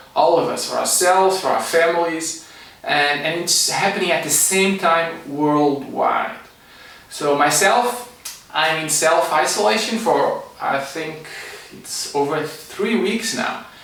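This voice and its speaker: With a Portuguese accent and high pitch, a man speaks at a fairly slow pace with ordinary pitch variation, amid audible room echo and noticeable background noise. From Portugal. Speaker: energy medicine teacher and psychologist. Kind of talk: online class talk.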